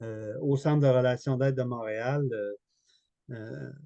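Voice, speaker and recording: In a Quebec accent, a man speaks at a fairly slow pace with a dark, mellow tone and fairly even intonation. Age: 60s. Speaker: therapist and author. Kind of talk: webinar interview. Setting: online webinar.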